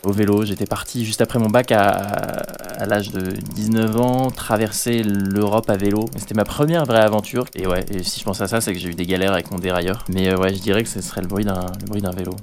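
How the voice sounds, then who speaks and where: Hardly any pauses break up this man's speech at a moderate pace. His pitch is fairly low. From Normandy, France. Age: 20s. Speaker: adventurer and author. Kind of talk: interview. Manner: hesitant, repeats words.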